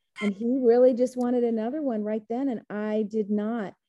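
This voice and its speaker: With an American accent, a woman talks in a fairly high, flat monotone at a moderate pace while music plays in the background. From Texas.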